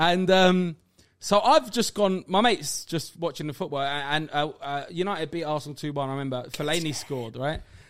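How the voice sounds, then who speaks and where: Recorded very cleanly against a silent background, the speaker uses a Cockney accent at a moderate pace with ordinary pitch variation. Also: man, fairly high pitch for a man. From London. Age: 30s. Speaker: stand-up comedian. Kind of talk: casual chat.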